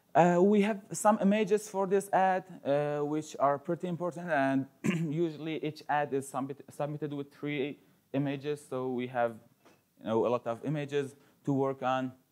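A man talks at a moderate pace, and his pitch shifts in an ordinary way. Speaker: conference speaker. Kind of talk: conference talk. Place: classroom.

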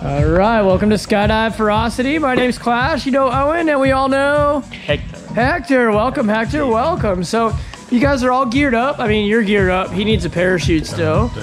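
With clear music in the background, a woman talks at a moderate pace with hardly any pauses. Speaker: skydiving instructor host. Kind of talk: casual upbeat interview. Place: garage.

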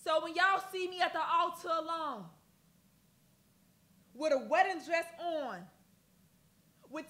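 At a fairly slow pace with long, frequent pauses, a woman speaks in a raised, projected voice with a bright, sharp tone and ordinary pitch variation. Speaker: spoken word poet. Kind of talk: poetry performance. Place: studio.

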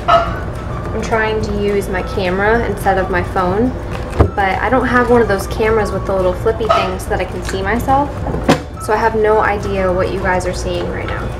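A woman speaks at a moderate pace. Behind her, music plays. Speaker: fitness vlogger. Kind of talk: casual vlog chat.

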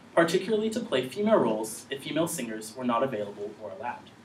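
Very fast and with very wide pitch swings, a man speaks amid light background noise and audible room echo. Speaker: presenter. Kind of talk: conference presentation. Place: classroom. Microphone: camera far.

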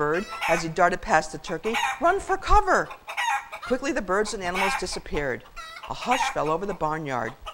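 The speaker is reading aloud in a natural voice.

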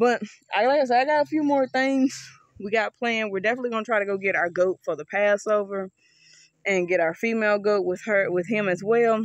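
A woman speaks at a medium pitch and a fairly quick pace. Her pitch varies in an ordinary way.

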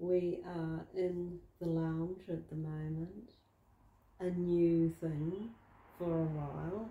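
Speaking very slowly in a flat monotone, a woman with a New Zealand accent has a fairly low pitch and a somewhat breathy, dark, mellow tone. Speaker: vlogger. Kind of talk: casual vlog. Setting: at home in lounge.

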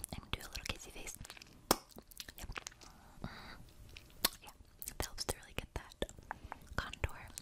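A woman's fairly quick delivery, broken by long, frequent pauses. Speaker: makeup artist roleplay. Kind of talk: ASMR personal attention roleplay. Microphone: studio mic.

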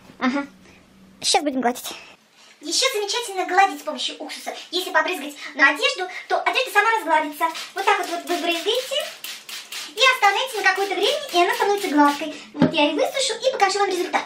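A woman talks at a very fast pace in an extremely high pitch. Noticeable background noise is present. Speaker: home tips vlogger. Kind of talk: tutorial. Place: home room. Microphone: camera far.

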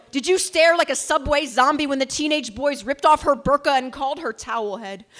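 With an American accent, a woman speaks at a high pitch and ordinary pitch variation. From United States. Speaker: slam poet. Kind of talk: spoken word poetry performance. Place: stage. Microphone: handheld.

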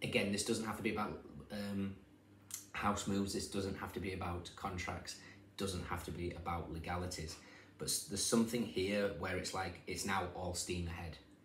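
With audible room echo and light background noise, a man speaks at a moderate pace in a very deep, low, somewhat breathy voice. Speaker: tarot reader. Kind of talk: casual tarot reading commentary. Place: home room. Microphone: phone near.

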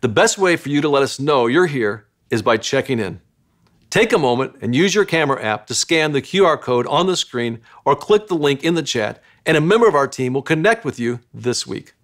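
Against a quiet background, the voice moves at a fairly quick pace with very wide pitch swings. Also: man. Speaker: church pastor. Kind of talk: welcome announcement. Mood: warm, welcoming. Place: studio.

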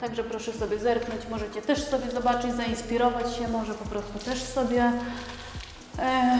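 Over noticeable background noise and audible room echo, a woman speaks at a fairly quick pace with monotone, flat intonation. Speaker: home renovation vlogger. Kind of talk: tutorial. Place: home room. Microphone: lapel.

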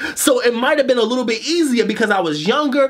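A man speaks with lively intonation. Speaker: motivational coach, show host. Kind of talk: motivational monologue to camera. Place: studio.

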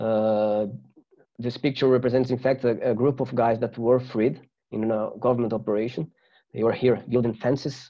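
Against a quiet background, a man with a Portuguese accent speaks at a moderate pace in a flat monotone. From Brazil. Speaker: journalist and researcher. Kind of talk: webinar presentation. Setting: video call. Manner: halting. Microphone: webcam.

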